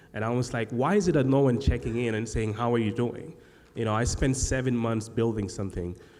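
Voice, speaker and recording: A man talks at a fairly quick pace with medium pitch. Room echo is audible. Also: ordinary pitch variation. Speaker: podcast host and agency founder. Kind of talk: live panel discussion. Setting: stage with live audience. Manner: halting, many fillers and repeated sounds.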